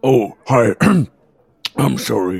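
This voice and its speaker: A raspy, fairly low put-on character voice from a man. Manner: flustered, apologetic.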